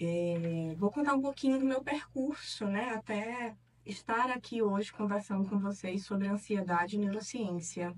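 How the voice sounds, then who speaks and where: A woman speaks at a medium pitch with ordinary pitch variation. She hardly pauses at all. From Piauí, Northeast Brazil. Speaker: neuropsychologist and professor. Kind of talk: interview. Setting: studio.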